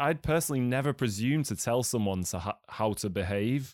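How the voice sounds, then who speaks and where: Here is a man in an English accent. His intonation is lively. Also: very clean recording, silent background. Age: 30s. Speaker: podcast host and filmmaker. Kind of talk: casual chat.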